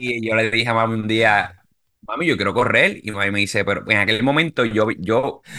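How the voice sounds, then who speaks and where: Here is an unremarkable speaking voice from a man at medium pitch. He keeps a moderate pace with ordinary pitch variation. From Puerto Rico. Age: 30s. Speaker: amateur marathon runner. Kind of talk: casual interview.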